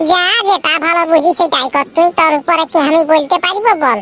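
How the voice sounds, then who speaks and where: A woman uses a cartoonish, squeaky character voice at an extremely high pitch with ordinary pitch variation. Her pace is moderate and her loudness very even. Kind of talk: comic rural cartoon. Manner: blunt, bossy.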